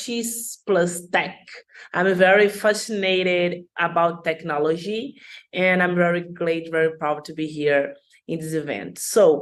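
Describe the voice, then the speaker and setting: There is audible room echo as a woman talks. She speaks slowly-ish, at a fairly slow pace, in a Brazilian Portuguese accent. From Brazil, Rio de Janeiro. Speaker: dancer and social science student. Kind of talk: conference talk. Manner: halting.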